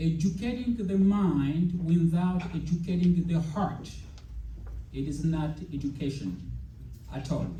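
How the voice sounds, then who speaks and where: With audible room echo, a man speaks at a high pitch and a fairly slow pace, with ordinary pitch variation and long, frequent pauses. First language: not English. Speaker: educator, speaker. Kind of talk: speech to teachers. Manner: hesitant, with fillers.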